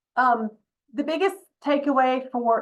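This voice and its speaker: In a Southern US accent, a woman speaks at a high pitch with ordinary pitch variation. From US South. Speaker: state environmental regulator. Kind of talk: public presentation at town hall. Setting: town hall meeting. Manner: fast.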